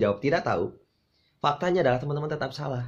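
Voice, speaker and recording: A man with a somewhat breathy voice and lively intonation, talking at a very fast pace. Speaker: insurance sales coach. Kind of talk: tutorial on hypnotic language patterns, with a sales-pitch demonstration. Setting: video channel, direct address to the camera. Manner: persuasive, teacherly and friendly, with a playful, humorous tone. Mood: friendly, upbeat. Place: home room.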